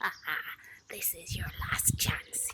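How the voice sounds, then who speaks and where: In a put-on character voice, the speaker whispers with a menacing tone. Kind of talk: bedtime story. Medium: read story. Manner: gloating, menacing.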